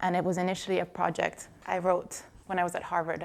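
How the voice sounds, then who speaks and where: The woman talks rather quickly. She has an American accent. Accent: slight Italian with American tinge. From Italy. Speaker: journalist. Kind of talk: podcast interview.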